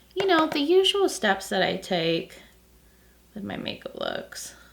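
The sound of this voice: The voice is croaky and creaky, with vocal fry. It moves at a fairly slow pace with very wide pitch swings. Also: woman, medium pitch for a woman.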